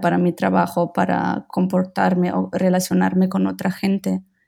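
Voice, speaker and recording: Background music plays throughout. Over it, a woman speaks. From Germany, Berlin. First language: German and Italian (speaking Spanish). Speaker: visual designer, design studio co-founder. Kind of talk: interview conversation.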